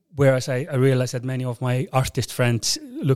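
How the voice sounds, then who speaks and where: In an Icelandic accent, a man speaks at a moderate pace. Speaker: airline CEO and rock drummer. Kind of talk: interview. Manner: halting.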